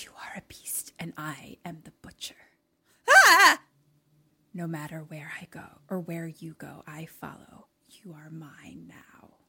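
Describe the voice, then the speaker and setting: A put-on character voice, raspy and menacing, moves at a fairly slow pace with long, frequent pauses. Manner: whispering, menacing.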